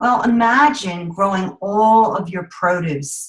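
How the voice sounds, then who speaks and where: A somewhat breathy woman at a very slow pace with lively intonation. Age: 50s. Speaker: network marketing director, former teacher. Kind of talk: sales pitch with personal testimony. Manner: animated.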